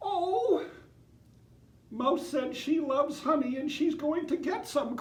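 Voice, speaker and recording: This put-on character voice is squeaky and high-pitched, delivered at a fairly slow pace. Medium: read story. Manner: apologetic.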